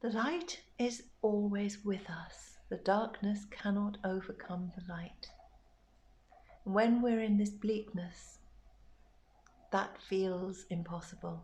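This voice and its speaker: Somewhat breathy and medium in pitch, a woman speaks at a very slow pace with fairly even intonation. Her long, frequent pauses carry audible room echo. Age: 60s. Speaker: bereaved mother sharing grief reflections. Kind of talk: personal reflective monologue.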